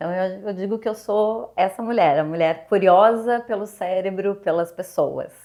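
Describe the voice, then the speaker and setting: A woman in a southern Brazilian accent talks at a moderate pace and medium pitch with ordinary pitch variation and hardly any pauses. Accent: gaúcho (southern Brazilian). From Rio Grande do Sul, Brazil (Porto Alegre). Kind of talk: interview.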